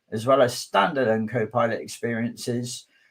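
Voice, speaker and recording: Here a man speaks with a southwest English accent. His pitch is medium and his pace moderate. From southwest England. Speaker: conference speaker, technology advocate. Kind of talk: technical conference talk.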